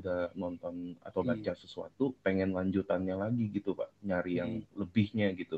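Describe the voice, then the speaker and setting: A man speaks at a fairly low pitch and a fairly quick pace. His intonation stays fairly even. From Indonesia. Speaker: caller sharing personal testimony; caller. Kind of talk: testimony. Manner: halting. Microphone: video call.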